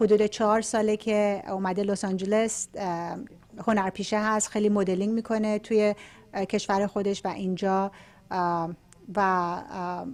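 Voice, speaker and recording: A woman's medium-pitched voice with a Persian accent, fairly even in intonation and fairly slow in pace, on a very clean recording with a silent background. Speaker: talk show host and interpreter. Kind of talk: interview with live translation.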